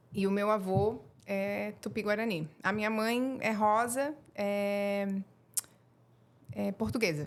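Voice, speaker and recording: The speaker talks at a very slow pace in a strong Florianópolis accent, leaving long, frequent pauses. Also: woman, medium pitch for a woman, ordinary pitch variation. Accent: strong local Florianópolis. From Florianópolis, Santa Catarina, Brazil. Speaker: acupuncture therapist. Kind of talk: podcast interview. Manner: hesitant, many fillers.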